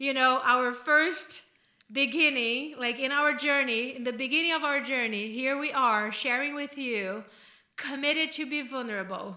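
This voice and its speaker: In a room with audible echo, a woman projects a raised, high-pitched voice with a bright, sharp tone, ordinary pitch variation and a moderate pace. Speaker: podcast co-host, life coach. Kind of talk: casual chat.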